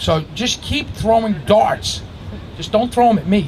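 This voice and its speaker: Over noticeable background noise, a man speaks with lively intonation in a New York accent. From Astoria, Queens, New York City. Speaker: graffiti writer and musician. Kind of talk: live storytelling to an audience. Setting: outdoors. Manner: casual, conversational.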